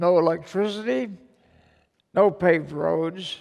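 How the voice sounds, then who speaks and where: At a fairly slow pace, a man with a high pitch speaks with a Midwestern American accent. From Missouri. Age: 80s+. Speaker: war veteran. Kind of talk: public talk.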